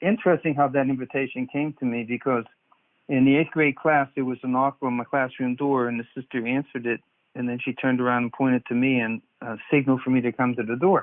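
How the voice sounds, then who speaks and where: This speaker has an American accent and talks at a very fast pace. The intonation stays fairly even. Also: man, medium pitch for a man. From US, Pittsburgh. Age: 70s. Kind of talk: interview testimony.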